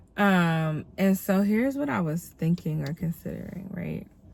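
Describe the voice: A woman speaks with a fairly low pitch and vocal fry. Her voice sounds nasal.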